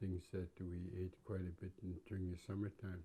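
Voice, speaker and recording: Somewhat breathy and dark, mellow in tone, a man speaks at a fairly slow pace with a very deep, low pitch. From west coast of Vancouver Island, Canada (Nuu-chah-nulth). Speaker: First Nations elder. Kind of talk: interview, personal recollection. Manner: halting, with frequent repetitions.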